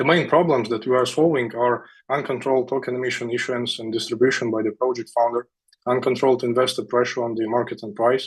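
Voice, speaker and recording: Against a quiet background, a man with a medium pitch speaks very fast with fairly even intonation. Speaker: startup founder pitching. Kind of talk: sales pitch.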